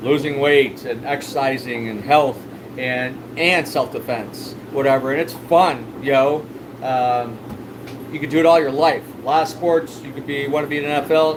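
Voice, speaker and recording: Against noticeable background noise and audible room echo, a man with a fairly high pitch speaks at a moderate pace with fairly even intonation. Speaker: fish store owner and livestreamer. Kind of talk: casual livestream chat. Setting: live stream. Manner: loud.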